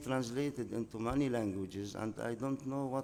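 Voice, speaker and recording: With an Arabic accent, a man talks at a moderate pace in a medium pitch, his dark, mellow tone carrying fairly even intonation. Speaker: novelist. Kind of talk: interview. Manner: halting.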